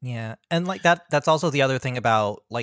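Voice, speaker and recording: An unremarkable speaking voice with an American accent and lively intonation. The sound is dry and close, with no echo. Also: man. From US Mid-Atlantic (Prince George's County, Maryland). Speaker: freelance tabletop game writer. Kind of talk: casual interview.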